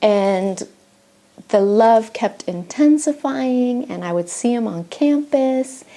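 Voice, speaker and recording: With lively intonation and a dark, mellow tone, a woman speaks at a fairly high pitch and a very slow pace. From Argentina. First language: Spanish. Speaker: missionary. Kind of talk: testimony. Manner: halting, with fillers.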